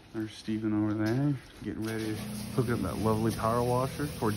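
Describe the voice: A man's fairly low, slightly mellow voice at a fairly quick pace, with fairly even intonation and audible room echo.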